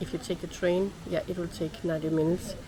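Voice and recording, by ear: Her pitch fairly low and moving little, a woman talks at a fairly quick pace.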